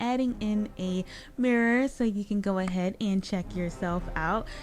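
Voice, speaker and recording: Over music in the background, a woman talks at a moderate pace with a medium pitch and ordinary pitch variation. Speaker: Sims gaming youtuber. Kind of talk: casual gameplay voice-over. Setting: home recording, gaming headset mic.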